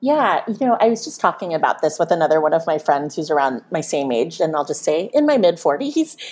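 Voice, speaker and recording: Speaking with a General American accent, a woman moves at a fairly quick pace with hardly any pauses. Her fairly low voice has lively intonation, with noticeable background noise behind it. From Pennsylvania, US. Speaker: marketing executive. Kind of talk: panel interview, personal storytelling.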